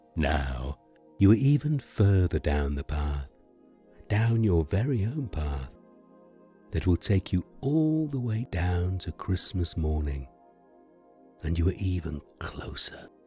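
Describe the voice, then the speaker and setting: A man with a very deep, low pitch speaks very slowly, his pitch swinging very widely, with long, frequent pauses. Music plays in the background. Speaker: narrator. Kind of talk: sleep story. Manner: soft, slow, soothing.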